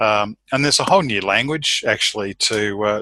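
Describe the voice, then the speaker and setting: This man has an Australian accent. His voice is fairly low, with ordinary pitch variation. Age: 60s. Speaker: course member. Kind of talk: mastermind group call. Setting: group call. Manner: halting.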